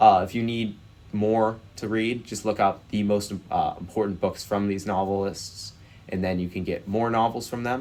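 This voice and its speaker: Flat and monotone in intonation, a man speaks in a fairly low pitch. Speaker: quizbowl educator / YouTuber. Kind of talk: tutorial. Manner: fast; many filler words (uh).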